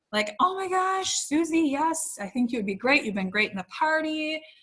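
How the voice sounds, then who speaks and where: With very wide pitch swings, a woman uses a raised, projected voice that has a bright, sharp tone. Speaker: direct sales trainer. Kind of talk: training webinar. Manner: fast.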